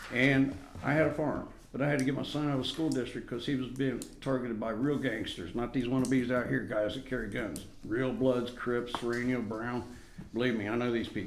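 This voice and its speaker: In audible room echo, a man talks at a fairly quick pace with medium pitch and fairly even intonation. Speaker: resident addressing city council. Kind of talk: public comment at council meeting. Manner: loud; agitated.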